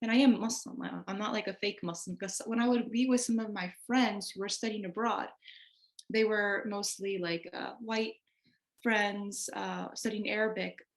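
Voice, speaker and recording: A woman's fairly high voice with an American accent, fairly even intonation and a moderate pace. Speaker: interviewee. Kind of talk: interview, personal testimony.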